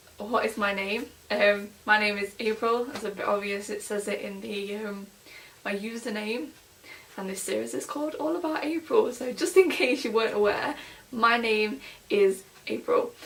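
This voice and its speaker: A woman speaks with an East Midlands accent, her loudness rising and falling sharply. Noticeable background noise is present. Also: fairly high pitch for a woman, lively intonation, moderate pace. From England, Nottingham. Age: 20s. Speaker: vlogger. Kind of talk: casual vlog. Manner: filler-heavy, chatty.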